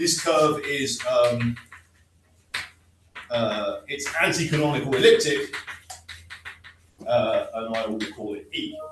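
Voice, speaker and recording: Speaking with a British accent at a very slow pace, a man leaves long, frequent pauses, his loudness swings widely, and the recording has audible room echo and noticeable background noise. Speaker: mathematician. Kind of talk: lecture.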